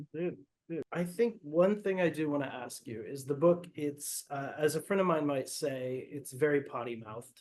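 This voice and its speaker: A normal speaking voice from a man, fairly high in pitch, at a moderate pace with ordinary pitch variation. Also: big swings in loudness. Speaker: bookseller. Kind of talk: interview host, casual conversation.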